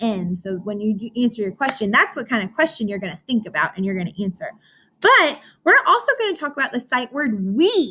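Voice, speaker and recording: Her tone bright and sharp, a woman talks at a fairly quick pace with very wide pitch swings over light background noise. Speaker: teacher. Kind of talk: lesson for young children. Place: classroom. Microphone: webcam.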